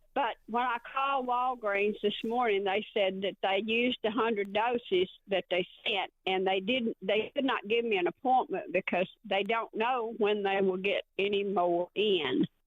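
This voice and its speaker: Speaking in a Southern US accent, the voice moves at a fairly slow pace with hardly any pauses. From Arkansas. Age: 70s. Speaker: caller. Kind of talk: voicemail question. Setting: phone voicemail.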